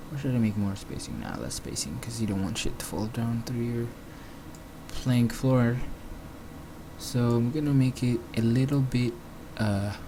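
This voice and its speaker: A man speaks at a medium pitch with ordinary pitch variation and a non-native accent, with audible room echo and noticeable background noise. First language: not English. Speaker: 3D graphics tutorial maker. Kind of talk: screen-recorded software tutorial. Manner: casual, hesitant with fillers.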